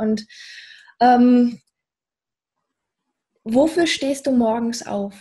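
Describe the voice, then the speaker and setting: The voice is dark and mellow, with ordinary pitch variation and a very slow pace. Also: woman. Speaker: podcast host, Pilates trainer. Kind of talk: interview question.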